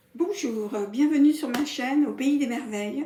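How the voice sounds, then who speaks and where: The speech moves at a fairly slow pace with ordinary pitch variation. Noticeable background noise sits behind it. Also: woman. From Paris, France. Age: 60s. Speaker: sewing vlogger. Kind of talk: casual vlog introduction. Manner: hesitant, many fillers.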